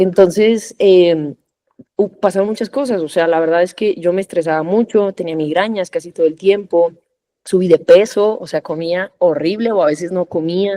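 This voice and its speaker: A woman talks at a moderate pace, her voice heard with a dry, close sound and no echo. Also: medium pitch for a woman, ordinary pitch variation. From Mexico. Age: 30s. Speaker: corporate lawyer and trader. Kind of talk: podcast interview. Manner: conversational with frequent fillers.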